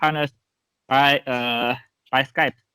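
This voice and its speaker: A fairly high-pitched man with a Chinese accent, a bright, sharp tone, monotone, flat intonation, and a dry, close sound with no echo. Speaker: sales agent. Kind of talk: interview. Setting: video call. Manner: halting.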